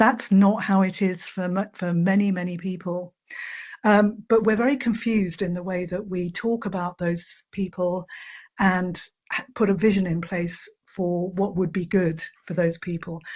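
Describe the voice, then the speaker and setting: A woman speaks at a moderate pace in a somewhat breathy voice with fairly even intonation. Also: medium pitch for a woman. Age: 60s. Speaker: charity chief executive. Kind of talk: webinar presentation. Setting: online webinar. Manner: hesitant with fillers.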